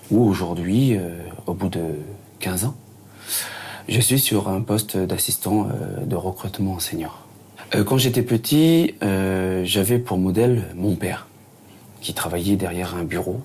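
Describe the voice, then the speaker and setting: Delivered at a very slow pace, the speech has long, frequent pauses and ordinary pitch variation. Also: man, fairly low pitch for a man. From New Caledonia (Lifou, Loyalty Islands). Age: 30s. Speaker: recruitment assistant. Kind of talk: interview testimony. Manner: halting, many fillers.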